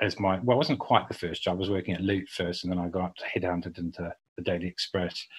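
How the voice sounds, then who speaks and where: The talk moves at a fairly quick pace in a New Zealand accent. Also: man. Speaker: public relations agency founder. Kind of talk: podcast interview.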